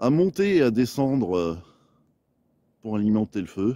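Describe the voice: Speaking at a moderate pace, a man has a dark, mellow tone.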